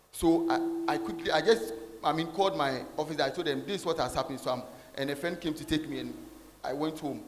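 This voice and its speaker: Noticeable background noise behind a man's high voice, fairly quick and with ordinary pitch variation. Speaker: church usher giving testimony. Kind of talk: testimony. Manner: halting, repeating words.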